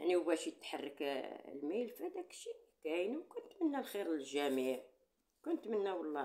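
A woman's voice carries a dark, mellow tone. Her pitch swings very widely. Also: quiet background. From Morocco. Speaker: YouTuber. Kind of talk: casual monologue to viewers; casual vlog chat. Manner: animated. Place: home room. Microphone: phone near.

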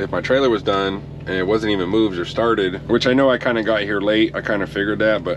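Through noticeable background noise, a man talks at a very fast pace. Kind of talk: casual vlog chat. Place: car. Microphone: phone near.

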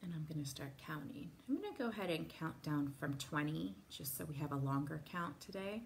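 A soft-spoken woman talks in a very deep, low voice with lively intonation and hardly any pauses. Her tone is calm and gentle, with light background noise. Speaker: wellness instructor. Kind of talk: guided meditation. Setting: live video call. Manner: calm, soft-spoken; slow, gentle, paced with pauses. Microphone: phone near.

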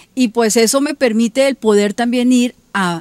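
A woman speaks at a fairly high pitch. The sound is dry, with no echo. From Colombia. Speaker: local politician. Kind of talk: TV interview. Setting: her home. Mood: earnest, defending her innocence. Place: garden.

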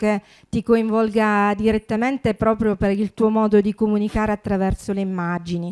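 There is a quiet background behind this woman. She speaks in a fairly high pitch with monotone, flat intonation. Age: 50s. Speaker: festival organizer and moderator; moderator. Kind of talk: panel moderation.

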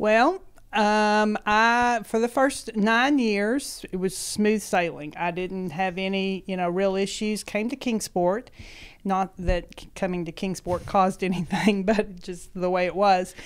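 A woman speaks at a fairly slow pace with an East Tennessee accent. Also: ordinary pitch variation. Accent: Southern US (East Tennessee). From US South (East Tennessee). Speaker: schoolteacher. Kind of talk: interview, personal health story. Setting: office. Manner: laughs often. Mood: warm, reflective personal story. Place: studio. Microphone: handheld.

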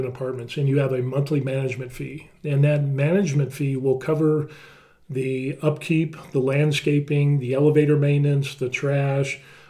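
Fairly high in pitch, this man's voice has a dark, mellow tone and a somewhat breathy quality, with an American accent. He speaks at a fairly quick pace in a monotone, flat intonation over a quiet background. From United States. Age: 50s. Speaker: YouTuber. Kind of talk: screen-share tutorial. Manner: casual, with many fillers. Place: home room.

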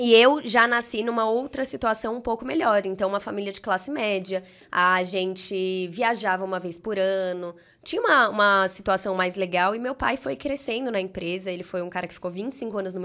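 Her tone is bright and sharp. Behind this woman, the background stays quiet. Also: ordinary pitch variation, moderate pace. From Brazil, Brasília and São Paulo. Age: 20s. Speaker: entrepreneur; podcast guest. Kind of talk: podcast interview. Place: studio. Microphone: studio mic.

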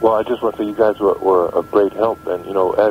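With music in the background and a dry sound with no echo, a man talks in a fairly even intonation. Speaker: phone-in guest. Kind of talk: interview answer. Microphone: phone line.

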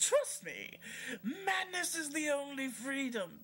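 A put-on character voice, theatrical in tone, at a fairly slow pace. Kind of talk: villain monologue. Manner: mocking, theatrical, rising to shouts.

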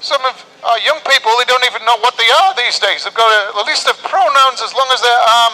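A man's raised, projected voice at a fairly quick pace over crowd noise in the background. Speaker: street preacher. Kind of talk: sermon. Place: street.

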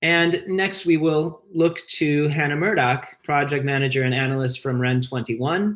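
Over a quiet background comes an unremarkable speaking voice with ordinary pitch variation. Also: man. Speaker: webinar moderator and research director. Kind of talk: webinar presentation. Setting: video call. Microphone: video call.

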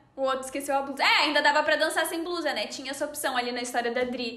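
A woman with a Gaúcho Brazilian accent uses a raised, projected voice at a high pitch with ordinary pitch variation, and audible room echo surrounds it. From Rio Grande do Sul, Brazil. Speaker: podcast host. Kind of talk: casual chat, podcast hosting. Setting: video call. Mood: relaxed, amused. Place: home room.

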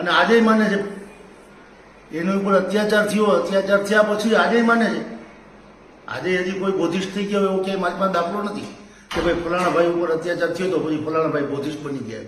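With noticeable background noise and audible room echo, a man speaks at a high pitch with ordinary pitch variation. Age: 50s. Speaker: community activist. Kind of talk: public statement video.

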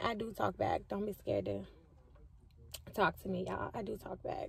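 A woman speaks at a moderate pace, the sound dry with no echo. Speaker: vlogger. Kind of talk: casual vlog chat. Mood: relaxed, bored, chatty. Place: car. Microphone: phone near.

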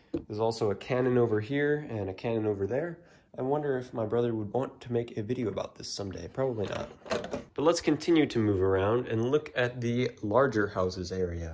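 Against noticeable background noise, a man with a medium-pitched voice speaks at a fairly quick pace with ordinary pitch variation. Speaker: YouTuber giving a room tour. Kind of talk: casual video narration. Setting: home basement. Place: home room. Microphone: phone near.

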